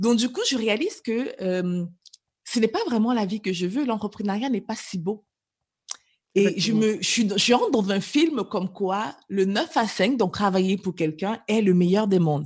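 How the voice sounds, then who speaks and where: The speaker talks at a fairly slow pace in a somewhat breathy voice with lively intonation. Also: woman, medium pitch for a woman. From Cameroon, moved to Canada at 11. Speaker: business coach. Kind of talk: interview.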